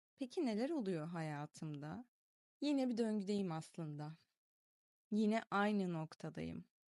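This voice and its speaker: With lively intonation and a dark, mellow tone, a woman speaks at a very slow pace. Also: medium pitch for a woman. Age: 20s. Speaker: video diary vlogger. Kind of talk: reading aloud a personal diary.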